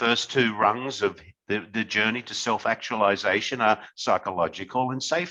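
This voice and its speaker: A man with an Australian accent and a bright, sharp tone. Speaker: company executive. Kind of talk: webinar talk. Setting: webinar.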